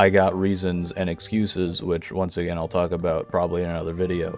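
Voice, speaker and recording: Over music in the background, a man with a very deep, low voice talks at a fairly quick pace in a monotone, flat intonation. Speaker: gamer, video game commentator. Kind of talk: casual talk to camera.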